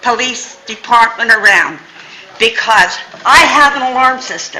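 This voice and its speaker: A raised, projected voice with lively intonation, audible room echo, and noticeable background noise. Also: woman. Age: 80s+. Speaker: resident speaking at public comment. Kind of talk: public comment at council meeting. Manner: animated.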